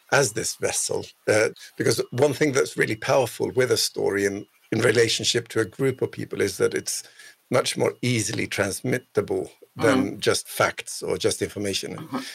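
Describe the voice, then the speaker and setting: A man talks with a Swedish accent. He keeps a moderate pace. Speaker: podcast co-host. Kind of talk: podcast interview. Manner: halting, repeats words.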